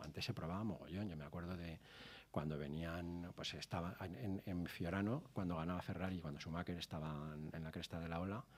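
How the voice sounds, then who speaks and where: Fairly quick and fairly even in intonation, a man speaks at a very deep, low pitch. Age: 60s. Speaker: TV motoring show director and racing driver. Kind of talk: casual interview chat.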